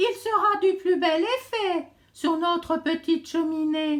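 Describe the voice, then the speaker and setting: A put-on character voice unfolds at a fairly slow pace. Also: woman, extremely high pitch for a woman. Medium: read story.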